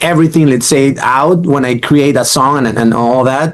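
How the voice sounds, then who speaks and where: With noticeable background noise present, a man's fairly high voice shows ordinary pitch variation. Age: 40s. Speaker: interviewer, guitarist. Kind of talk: casual interview.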